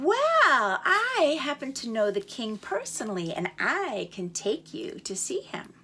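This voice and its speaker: A woman's high-pitched, put-on character voice with very wide pitch swings. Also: moderate pace. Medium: read story.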